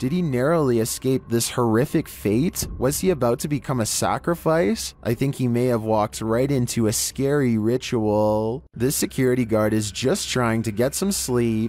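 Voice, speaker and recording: With a normal speaking voice, a man of medium pitch keeps his loudness very even and his pitch variation ordinary. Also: moderate pace, hardly any pauses. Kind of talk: scary video countdown narration. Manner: steady scripted read, measured pacing, wry humor.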